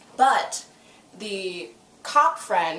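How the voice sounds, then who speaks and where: An animated woman's voice amid noticeable background noise and audible room echo. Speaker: YouTuber reviewing TV episodes. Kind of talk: casual recap vlog. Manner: loud.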